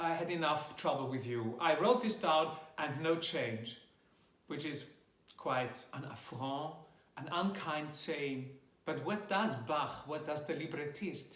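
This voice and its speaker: With a German accent, a man talks at a very slow pace and a fairly high pitch, with ordinary pitch variation. Room echo is audible. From German-speaking Europe. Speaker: classical tenor singer. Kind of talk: tutorial. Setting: home video recording.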